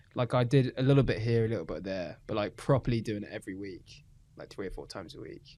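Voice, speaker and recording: A man's medium-pitched voice with a British accent, very fast, with a dark, mellow tone and big swings in loudness. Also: ordinary pitch variation. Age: 20s. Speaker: stand-up comedian. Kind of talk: casual chat.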